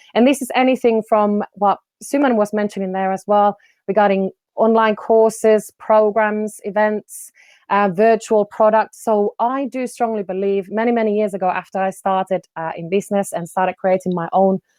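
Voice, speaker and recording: With fairly even intonation, a woman talks at a moderate pace and a medium pitch. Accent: Finnish. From Finland. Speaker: business development coach. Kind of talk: online presentation.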